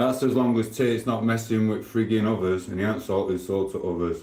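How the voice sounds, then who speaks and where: With audible room echo, a man speaks in a Sheffield accent at a moderate pace, his medium pitch following fairly even intonation. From South Yorkshire, England (Sheffield). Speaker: live streamer. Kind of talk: casual live stream chat.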